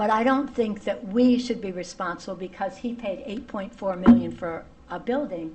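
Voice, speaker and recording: Speaking at a moderate pace with a fairly high pitch and ordinary pitch variation, a woman's voice swings widely in loudness over noticeable background noise and audible room echo. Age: 70s. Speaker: public commenter, tenant. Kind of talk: public hearing testimony. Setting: town hall meeting.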